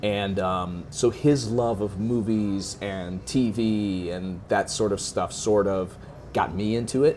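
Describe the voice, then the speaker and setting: With music in the background, a man speaks at a very slow pace with a fairly low pitch and ordinary pitch variation. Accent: American. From US Midwest, North Shore of Chicago. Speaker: actor and writer. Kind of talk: interview. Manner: many fillers (um, like, you know).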